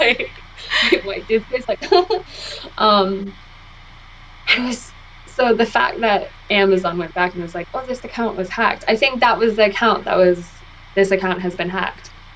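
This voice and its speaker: Over noticeable background noise, a woman with an American accent and a medium pitch speaks at a moderate pace with ordinary pitch variation and long, frequent pauses. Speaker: podcast host. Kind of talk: casual chat. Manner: hesitant, many fillers.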